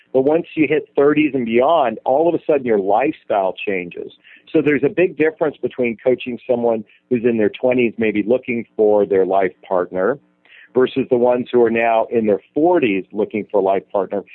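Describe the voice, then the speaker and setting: Lively intonation at a moderate pace, with very even loudness and music in the background. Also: man, medium pitch for a man. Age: 40s. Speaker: dating and relationship coach. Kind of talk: interview.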